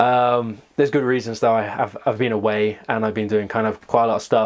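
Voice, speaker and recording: Over clearly audible background noise, the talking moves along at a fairly quick clip. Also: man. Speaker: video blogger on personality types. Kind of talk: casual vlog monologue. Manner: fast; hesitant, many fillers.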